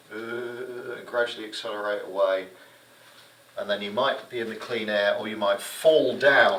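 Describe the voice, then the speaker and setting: A man speaks at a medium pitch and a moderate pace, his loudness swinging widely, with audible room echo and noticeable background noise. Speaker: gliding instructor. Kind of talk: lecture. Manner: animated.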